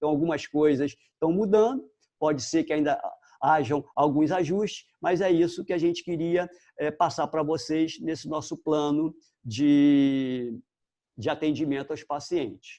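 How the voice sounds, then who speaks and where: A man talks at a fairly slow pace in a dark, mellow tone. The background is quiet. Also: fairly high pitch for a man, ordinary pitch variation. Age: 60s. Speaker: dentist. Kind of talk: informational live stream talk. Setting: live video stream. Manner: hesitant, many filler pauses.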